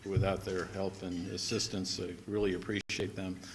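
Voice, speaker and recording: Noticeable background noise runs behind this man as he talks at a moderate pace. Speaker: guest. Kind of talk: formal speech remarks. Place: hall. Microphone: podium.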